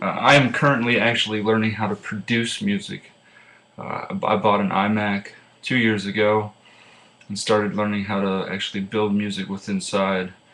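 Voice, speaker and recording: In an American accent, a man speaks at a moderate pace with a fairly low pitch and monotone, flat intonation. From Pennsylvania, rural farm. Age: 20s. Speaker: student. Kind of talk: class self-introduction speech. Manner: casual with many filler uhs.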